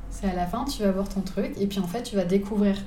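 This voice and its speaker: Audible room echo surrounds a woman speaking at a moderate pace and a medium pitch. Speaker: wedding photographer. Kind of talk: casual interview. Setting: living room.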